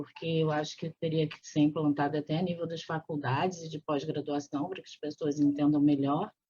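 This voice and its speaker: A woman is speaking. Her voice is very deep and low in pitch. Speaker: physician. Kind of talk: interview.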